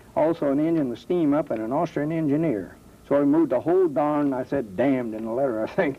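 A man with an American accent talks at a very fast pace. His pitch is fairly high, with ordinary variation. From US Midwest, Dayton, Ohio. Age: 70s. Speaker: war veteran. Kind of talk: testimony.

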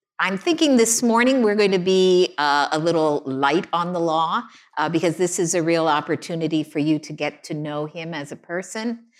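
A woman with a plain, everyday voice talks at a moderate pace with hardly any pauses, at a fairly low pitch with ordinary pitch variation. The recording is very clean, with a silent background. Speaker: legal journalist and interviewer. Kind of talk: on-stage interview conversation. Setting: stage with audience.

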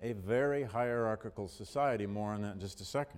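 A plain, everyday voice from a man with an American accent, lively intonation and a moderate pace. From Michigan, US Midwest. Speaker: history professor. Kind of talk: lecture.

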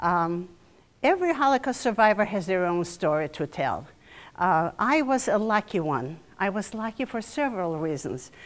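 On a very clean recording with a silent background, a woman talks at a moderate pace with very wide pitch swings. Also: medium pitch for a woman. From Eastern Poland. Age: 80s. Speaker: Holocaust survivor giving a talk. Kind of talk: lecture to students, testimony. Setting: university lecture hall with audience.

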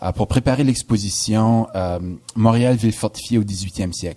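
A man talks at a moderate pace and medium pitch. His pitch varies in an ordinary way. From New Brunswick, Canada. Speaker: historian, professor. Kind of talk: radio interview. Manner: hesitant, frequent filler words.

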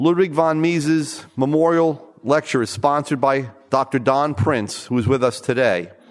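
An unremarkable speaking voice from a man, fairly high-pitched with lively intonation, very even loudness, and a moderate pace. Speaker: conference host introducing speaker. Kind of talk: formal introduction. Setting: stage with audience.

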